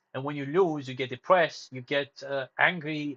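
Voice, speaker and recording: The speaker has a Romanian accent and a fairly quick pace. Pitch variation is ordinary. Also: man. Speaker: live streamer. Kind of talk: casual livestream monologue. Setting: live stream. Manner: hesitant, many fillers and restarts.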